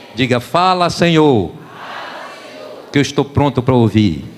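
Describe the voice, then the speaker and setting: A man with lively intonation over noticeable background noise. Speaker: pastor. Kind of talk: sermon. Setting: church.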